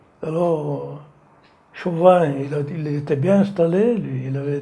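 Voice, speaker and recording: Very slow pace, ordinary pitch variation and audible room echo. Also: man. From France, Savoie (Maurienne valley). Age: 80s+. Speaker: retired slate quarryman. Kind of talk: oral history testimony. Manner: halting.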